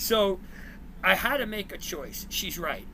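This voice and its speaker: With a New Jersey accent, a man speaks at a fairly slow pace in a high pitch, his intonation fairly even. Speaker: former teacher and coach, ed tech worker. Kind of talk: casual interview chat, storytelling.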